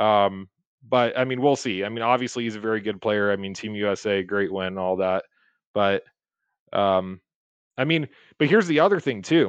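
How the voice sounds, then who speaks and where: Against a quiet background, a man with a fairly low pitch and ordinary pitch variation speaks at a moderate pace, leaving long, frequent pauses. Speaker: guest, hockey fan. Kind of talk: casual chat. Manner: loud, filler-heavy.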